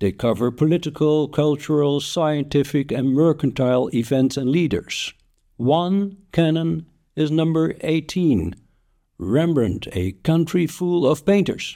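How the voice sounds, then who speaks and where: In a very clean recording with a silent background, a man with a fairly high pitch and a dark, mellow tone uses lively intonation at very even loudness. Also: fairly slow pace. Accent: Dutch. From Netherlands. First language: Dutch. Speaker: podcaster, history narrator. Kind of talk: scripted narration.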